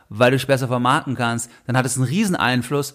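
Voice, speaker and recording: In an unremarkable speaking voice, a man moves along at a fairly quick pace. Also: very clean recording, silent background. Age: 30s. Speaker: finance podcast host. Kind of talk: solo podcast monologue.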